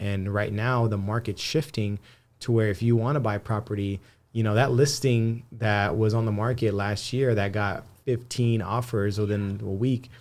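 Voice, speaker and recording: Over a silent background on a very clean recording, a man with a Spanish accent speaks in a fairly even intonation. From Antelope Valley, Southern California. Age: 30s. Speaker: marketer and loan broker. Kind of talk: casual podcast interview. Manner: frequent fillers and repetitions.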